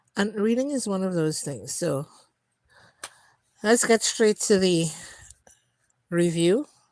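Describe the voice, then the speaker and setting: Lively intonation marks this woman's medium-pitched voice. She speaks at a very slow pace. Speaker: book reviewer and cancer survivor. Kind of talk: livestream book review. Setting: live stream. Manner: hesitant, many fillers.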